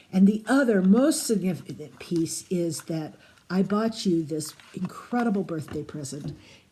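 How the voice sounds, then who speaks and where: Over noticeable background noise, a woman speaks at a medium pitch with a playful tone and lively intonation. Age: 70s. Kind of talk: recorded birthday greeting.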